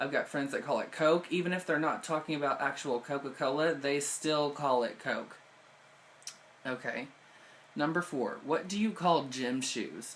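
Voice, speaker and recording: A man with a Southern US accent and fairly high pitch. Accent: Southern American. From southeast Missouri, USA. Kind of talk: casual talk to camera.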